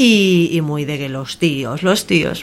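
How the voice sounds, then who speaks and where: A woman speaks with lively intonation in a very deep, low pitch. Music plays in the background. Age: young. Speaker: entertainment worker and voice course student. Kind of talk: casual chat. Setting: bookshop.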